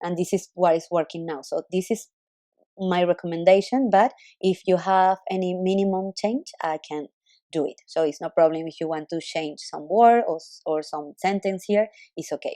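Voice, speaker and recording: In a dry, close recording with no echo, a woman speaks at a moderate pace with a dark, mellow tone, medium pitch and ordinary pitch variation. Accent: non-native. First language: not English. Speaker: web designer. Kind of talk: recorded screen walkthrough for a client. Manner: halting.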